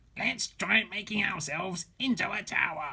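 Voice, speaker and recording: The pitch is middle. The voice is a put-on character one. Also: moderate pace. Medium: read story.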